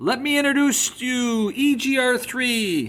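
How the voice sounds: Putting on a character voice, a man pitches it extremely high. The delivery is fairly slow.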